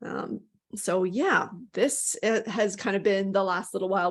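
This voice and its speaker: Her pace is moderate and her pitch is medium. This woman has an unremarkable speaking voice. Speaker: workshop presenter. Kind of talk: presentation.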